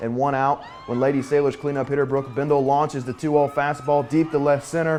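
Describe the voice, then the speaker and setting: A man's voice is heard. Noticeable background noise sits behind it. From Kentucky. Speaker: sports anchor and reporter. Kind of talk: high school sports play-by-play highlight narration. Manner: energetic, punchy, quippy.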